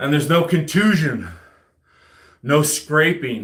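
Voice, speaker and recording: A man's fairly high voice with vocal fry and lively intonation, plus audible room echo. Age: 40s. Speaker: army veteran and home gym fitness streamer. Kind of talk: casual live stream chat while working out.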